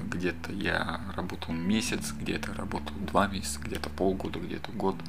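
A man at a moderate pace with hardly any pauses, amid noticeable background noise and audible room echo. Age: 30s. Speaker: podcaster. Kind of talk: casual monologue. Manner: rambling, hesitant.

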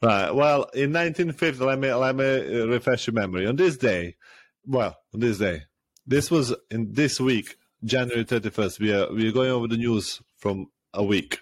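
Animated in tone, a man with a Serbian accent talks at a moderate pace and medium pitch, with ordinary pitch variation and very even loudness, in a very clean recording with a silent background. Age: 30s. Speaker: podcast host. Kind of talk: casual chat. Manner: animated, laughs a lot.

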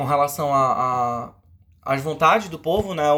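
The man's voice is on the higher side, with typical pitch movement, as he talks rather unhurriedly. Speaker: podcast host. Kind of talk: casual chat.

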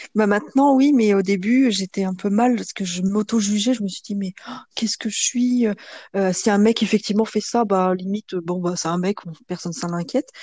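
Against a quiet background, a woman speaks at a medium pitch and a moderate pace, her dark, mellow, somewhat breathy voice showing ordinary pitch variation in a dry, close sound with no echo. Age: 30s. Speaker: guest sharing her love life. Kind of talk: testimony. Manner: hesitant, many fillers.

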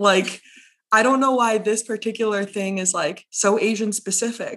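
A woman's fairly high voice at a moderate pace, an ordinary speaking voice with an American accent. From Monterey County, California. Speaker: guest, program manager and activist. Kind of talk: casual chat.

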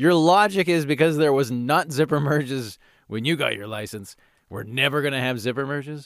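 The man's tone is animated, with a fairly high pitch, ordinary pitch variation and a fairly quick pace. The recording is very clean, with a silent background. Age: 40s. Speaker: podcast host, former radio host. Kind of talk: angry comedic rant, exaggerated complaining. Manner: exasperated.

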